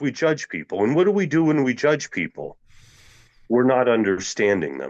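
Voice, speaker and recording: Talking at a fairly quick pace, a man shows vocal fry and very wide pitch swings. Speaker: Zen teacher. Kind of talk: sermon. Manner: sounds angry to listeners.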